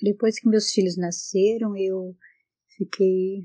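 In a somewhat breathy, dark and mellow tone, a woman of medium pitch speaks with monotone, flat intonation. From Brazil, northern Paraná countryside. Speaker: retired seamstress. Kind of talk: personal life testimony. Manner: halting.

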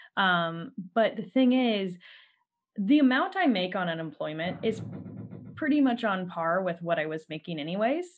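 A woman's normal speaking voice, medium in pitch, with lively intonation. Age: 30s. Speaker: podcast host. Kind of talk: casual chat. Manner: laughs often.

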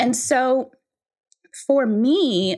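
A woman's voice with very wide pitch swings, in a very clean recording with a silent background. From Guyana, then Brooklyn. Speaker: author and money coach. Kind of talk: casual interview conversation.

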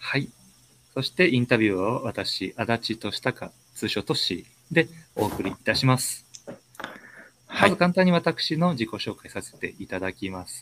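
In a dry, close sound with no echo, a man at a medium pitch speaks at a fairly slow pace with long, frequent pauses, very wide pitch swings and big swings in loudness. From Ishikawa Prefecture. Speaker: community interviewer, software engineer. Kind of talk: interview hosting. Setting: online live stream. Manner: formal.

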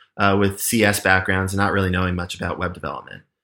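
With an unremarkable speaking voice, a man with a fairly low pitch talks in fairly even intonation in a very clean recording with a silent background. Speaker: software engineer. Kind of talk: casual interview.

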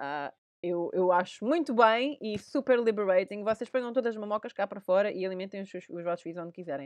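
Speaking in a European Portuguese accent at a medium pitch, a woman moves at a fairly quick pace with lively intonation and big swings in loudness, in a dry, close sound with no echo. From Portugal. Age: 30s. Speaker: podcast host. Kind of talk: casual chat.

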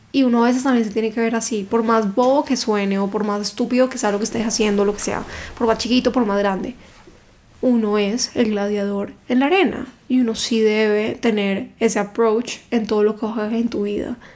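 Using a plain, everyday voice, a woman with a fairly high pitch talks at a moderate pace with fairly even intonation. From Cali, Colombia. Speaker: book content creator. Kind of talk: casual interview chat.

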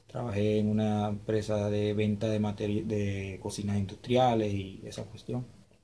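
Barely pausing, a man speaks in a monotone, flat way with a dark, mellow tone at fairly low pitch, and the room echoes audibly. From Venezuela, Maturín, Monagas (eastern Venezuela). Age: 20s. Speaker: migrant telling his story. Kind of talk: interview testimony. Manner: halting, many repetitions.

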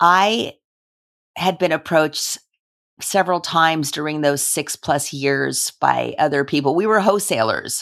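Vocal fry marks this voice with a Californian accent, moving at a fairly slow pace. The recording is very clean with a silent background. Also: woman, very deep, low pitch for a woman, ordinary pitch variation. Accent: Californian American. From Los Angeles, US. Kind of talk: interview conversation.

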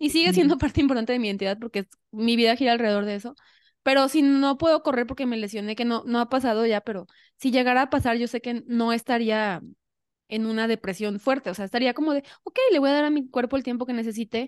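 A woman's high voice at a very fast pace with ordinary pitch variation, dry and close with no echo against a quiet background. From Mexico, Xalapa (Veracruz). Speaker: podcast host, amateur runner. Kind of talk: casual chat.

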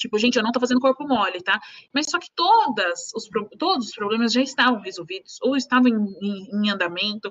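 A normal speaking voice from a woman, fairly high-pitched with lively intonation, at a fairly quick pace with big swings in loudness. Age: 20s. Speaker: lawyer. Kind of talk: casual chat. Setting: live stream.

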